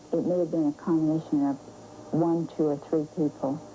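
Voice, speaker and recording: Over music in the background, a woman speaks with a very deep, low pitch and fairly even intonation. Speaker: interviewee, elderly woman under guardianship. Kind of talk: TV news interview.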